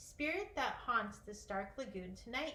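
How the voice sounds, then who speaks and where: A put-on character voice moves along at a moderate pace. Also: woman, fairly high pitch for a woman. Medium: read story. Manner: grandiloquent, old-fashioned oaths.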